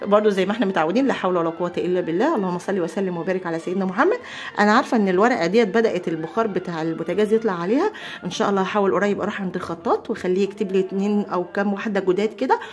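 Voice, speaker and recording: Over noticeable background noise, a woman of medium pitch talks at a very fast pace with ordinary pitch variation. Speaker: homemaking vlogger. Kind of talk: casual vlog chat. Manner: animated.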